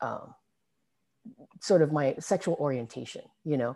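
A woman's voice over a quiet background. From Singapore. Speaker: filmmaker and activist. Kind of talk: interview.

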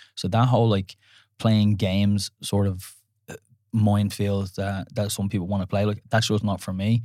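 On a very clean recording with a silent background, a man with an Irish accent speaks at a moderate pace in a fairly low pitch, his tone dark and mellow and his intonation monotone and flat. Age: 30s. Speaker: dating podcast co-host. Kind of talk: casual chat. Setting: studio.

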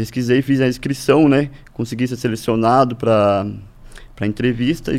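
A man talks with fairly even intonation, a medium pitch, and a moderate pace. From Brazil, Paraná (Norte Pioneiro, Ibaiti). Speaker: agronomist, farmers' organisation official. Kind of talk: interview. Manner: halting, many fillers and repetitions.

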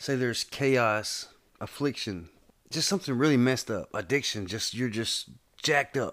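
A man's medium-pitched voice with lively intonation at a moderate pace, in a very clean recording with a silent background. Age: 30s. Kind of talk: casual chat. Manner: animated.

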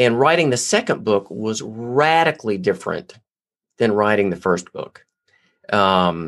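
With lively intonation, a man talks at a moderate pace in a normal speaking voice. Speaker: podcast host. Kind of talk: interview conversation.

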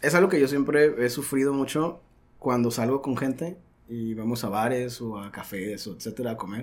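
Here is a man with a normal speaking voice, a medium pitch and ordinary pitch variation. He talks at a moderate pace, with big swings in loudness. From Mexico, Sonora (Caborca). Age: 30s. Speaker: podcast guest. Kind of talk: casual chat. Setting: studio.

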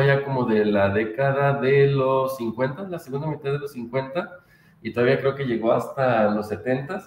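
A man speaks at a fairly slow pace with a fairly high pitch. Noticeable background noise runs behind him. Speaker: podcast host. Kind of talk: casual chat.

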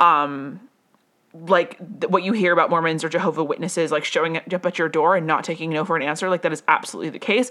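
With an American accent, a woman speaks very fast in a bright, sharp tone at a fairly low pitch, using ordinary pitch variation. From US West (Las Vegas). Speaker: podcast host, personal growth coach. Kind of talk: solo monologue, personal storytelling. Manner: casual, many fillers and self-corrections; laughs often.

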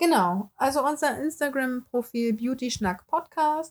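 Her pitch varies in an ordinary way. The speaker is a woman. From Hamburg, northern Germany. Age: 20s. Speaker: beautician and podcast host. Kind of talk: casual podcast introduction.

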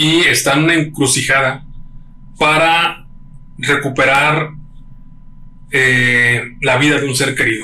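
A man with a Mexican accent, a fairly high pitch, fairly even intonation and a very slow pace, plus long, frequent pauses and audible room echo. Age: 30s. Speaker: podcast co-host. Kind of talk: casual chat. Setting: home studio.

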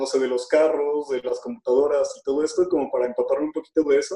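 A man with a Mexican accent speaks at a fairly quick pace in a fairly high pitch, his tone dark and mellow and his intonation fairly even. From Mexico. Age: 20s. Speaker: social entrepreneur and speaker. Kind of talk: casual interview. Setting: video call.

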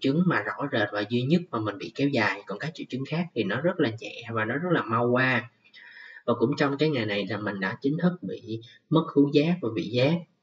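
A man at medium pitch and a fairly quick pace, with ordinary pitch variation. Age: 20s. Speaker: podcast host. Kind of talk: personal monologue. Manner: occasionally halting.

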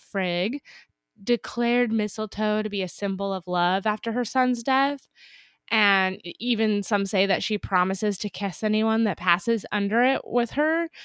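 A woman with an American accent and a fairly high pitch has an unremarkable speaking voice, with ordinary pitch variation, a moderate pace and a dry, close sound with no echo. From Northern California, Napa. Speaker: podcast co-host. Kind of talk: casual chat. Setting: recording remotely, apart from co-host.

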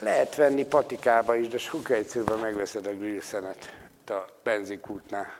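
Man at a medium pitch, moderate pace. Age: 50s. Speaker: folk healer. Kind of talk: lecture. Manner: animated.

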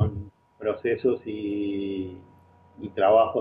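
A man talks with a Uruguayan accent. His pitch is fairly low. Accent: Rioplatense Spanish (Uruguayan). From Uruguay, small town near Montevideo. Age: 50s. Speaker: business consultant. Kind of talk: interview. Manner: halting, repeats words.

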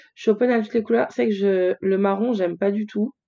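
A woman speaks in a plain, everyday voice at medium pitch. Her pitch varies in an ordinary way. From France, Lyon. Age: 30s. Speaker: fashion blogger. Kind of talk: interview conversation.

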